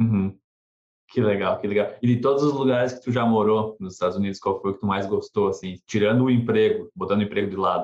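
A man's very fast speech at a medium pitch with fairly even intonation. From southern Brazil. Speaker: podcast host. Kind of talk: interview.

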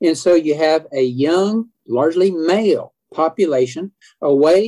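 A man with a fairly high pitch and a dark, mellow tone speaks with ordinary pitch variation in a dry, close sound with no echo. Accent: Oklahoma. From Oklahoma, Edmond. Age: 70s. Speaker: historian. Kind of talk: interview.

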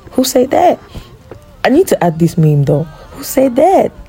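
A woman at a fairly slow pace, against noticeable background noise. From Cameroon. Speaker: podcast host, content creator. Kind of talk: casual monologue.

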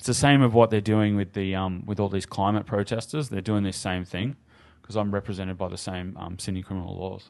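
Over a quiet background, a man with an Australian accent talks at a fairly quick pace and fairly low pitch with fairly even intonation. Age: 30s. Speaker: cannabis activist and entrepreneur. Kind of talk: casual chat. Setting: studio.

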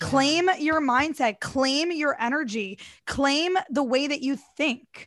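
A high-pitched woman with an American accent, very slow pace and ordinary pitch variation. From US Midwest. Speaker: DJ and TV personality. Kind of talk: casual interview chat.

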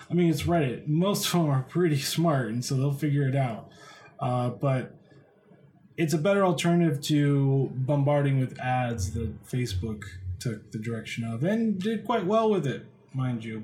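At a moderate pace, a man talks with a fairly high pitch and a somewhat breathy quality. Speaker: tech news podcast host. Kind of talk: solo podcast news commentary. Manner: casual, filler-heavy.

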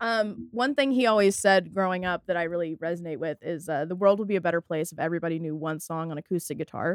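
In an American accent, a woman with a fairly low pitch and ordinary pitch variation talks at a very fast pace with hardly any pauses, in a dry, close sound with no echo. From rural North Texas near Fort Worth. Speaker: music journalist and poet. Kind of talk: casual interview.

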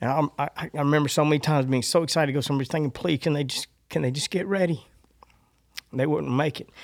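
Speaking very fast, a man uses fairly even intonation at a fairly high pitch. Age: 50s. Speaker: author of a faith-based book on love. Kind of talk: casual faith discussion. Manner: halting, with frequent repetitions and false starts.

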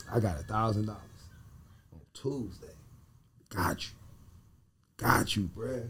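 Amid audible room echo, a man speaks at a fairly slow pace with ordinary pitch variation and long, frequent pauses. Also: fairly low pitch for a man. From Cleveland, Ohio (US Midwest). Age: 30s. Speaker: music producer and vegan pastry chef. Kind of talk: casual chat.

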